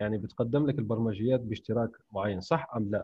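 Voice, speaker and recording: Speaking in a medium pitch with ordinary pitch variation, a man has an ordinary speaking voice. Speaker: podcast host, writer and translator. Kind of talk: interview, casual chat. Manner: formal, polished intro.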